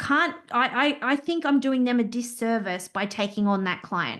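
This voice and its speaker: A loud woman's voice at a high pitch, with lively intonation, a moderate pace and a quiet background. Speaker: business owner and compliance consultant. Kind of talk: interview. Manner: talkative.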